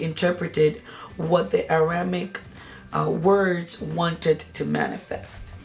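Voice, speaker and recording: A woman's fairly low-pitched voice in a Spanish accent at a fairly slow pace, with noticeable background noise. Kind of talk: product review. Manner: halting, with many fillers.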